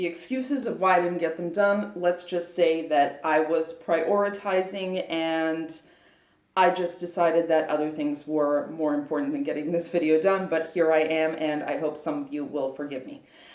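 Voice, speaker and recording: Here a woman speaks at a fairly low pitch. Room echo is audible. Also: ordinary pitch variation, moderate pace. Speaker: fitness vlogger. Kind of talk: casual vlog talk to camera. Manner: hesitant, many fillers.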